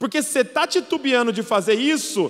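A man with a Brazilian accent, animated in tone, with lively intonation. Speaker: preacher. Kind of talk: sermon. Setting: church with live audience. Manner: animated, emphatic preacher, rallying the congregation with calls to respond; warm, conversational, with light humor. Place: stage. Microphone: handheld.

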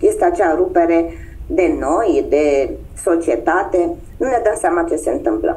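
A woman speaks at a fairly slow pace. Her loudness stays very even. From Romania, Constanța; Romania. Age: 50s. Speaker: human design guide. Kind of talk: interview. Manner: hesitant, many fillers. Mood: earnest, reflective. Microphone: video call.

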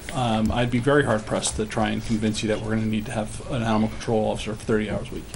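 Here a man is talking. Light background noise can be heard. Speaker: police chief. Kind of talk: town board budget meeting. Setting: town meeting room. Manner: halting, hesitant. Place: meeting room.

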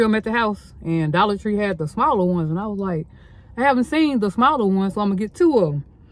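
The sound is dry with no echo. A woman speaks at a very fast pace. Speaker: lifestyle vlogger. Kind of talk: casual vlog chat. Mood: chatty, storytelling. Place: car. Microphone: phone near.

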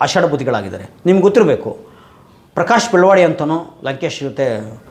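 Over noticeable background noise, a man talks with lively intonation at a fairly high pitch. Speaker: social activist and channel host. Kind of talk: monologue to camera.

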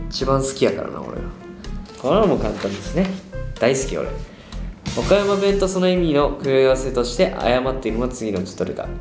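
A man speaks at a fairly quick pace with very wide pitch swings and long, frequent pauses, while clear music plays in the background. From Okayama, Japan. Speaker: pop group performer. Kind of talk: casual quiz-show talk. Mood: playful, amused. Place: studio.

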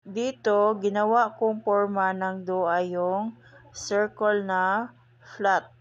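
At a very slow pace, a woman with a Visayan accent speaks at a medium pitch in a monotone, flat intonation. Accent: Visayan accent in Tagalog. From Visayas, Philippines. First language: Cebuano/Visayan (speaking Tagalog). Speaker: home cooking vlogger. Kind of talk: channel sign-off to viewers; cooking tutorial.

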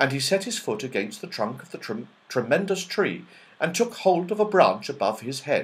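Here is plain reading aloud. The intonation is lively.

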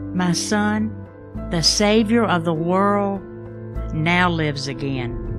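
A woman speaks at a very slow pace with long, frequent pauses, in a very deep, low pitch with very wide pitch swings. Music plays in the background. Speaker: voice actor playing Mary, mother of Jesus. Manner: emotional, reflective.

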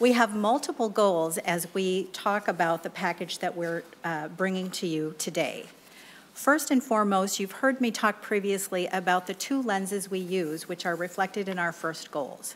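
With ordinary pitch variation, a woman speaks at a moderate pace. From US Midwest. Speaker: state agency director. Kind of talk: legislative testimony. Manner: formal. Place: hall. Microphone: podium.

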